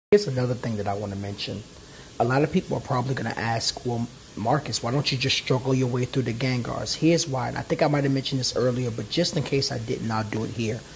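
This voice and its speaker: Very fast and animated in tone, the speech shows ordinary pitch variation over noticeable background noise. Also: man, medium pitch for a man. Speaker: gaming YouTuber. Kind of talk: gameplay commentary. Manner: halting, stumbling over words; casual, animated.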